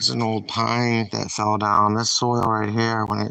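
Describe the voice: A man with a New England accent speaks in a bright, sharp, yet clear and smooth tone, with vocal fry and monotone, flat intonation. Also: fairly low pitch for a man, fairly slow pace.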